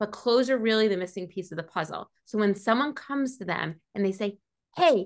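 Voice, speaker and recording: In a New York accent, a woman speaks at a fairly high pitch with lively intonation, and the background is quiet. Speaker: image consultant. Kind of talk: interview. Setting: video call.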